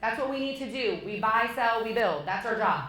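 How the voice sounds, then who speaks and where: With an animated tone, a woman speaks at a fairly high pitch and ordinary pitch variation amid noticeable background noise and audible room echo. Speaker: real estate agent and team lead. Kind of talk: talk to an audience.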